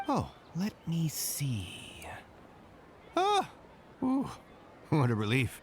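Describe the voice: A put-on character voice at a very slow pace, with very wide pitch swings over faint background noise. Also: man, fairly high pitch for a man.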